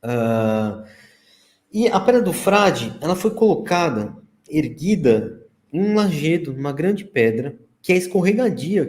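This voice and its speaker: A man's high voice with very wide pitch swings. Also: fairly slow pace. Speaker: researcher presenting archaeology findings. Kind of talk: slide presentation in live stream.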